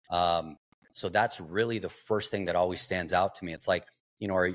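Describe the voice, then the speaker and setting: The recording is very clean, with a silent background and a dry, close sound with no echo. A man talks in a normal speaking voice, fairly low in pitch, with fairly even intonation. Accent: American. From Arizona. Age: 40s. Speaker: entrepreneur and investor. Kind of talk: interview.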